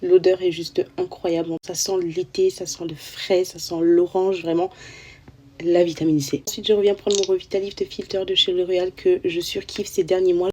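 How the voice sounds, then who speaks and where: Soft-spoken, a woman talks with monotone, flat intonation. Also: medium pitch for a woman, moderate pace. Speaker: beauty influencer. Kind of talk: skincare tutorial.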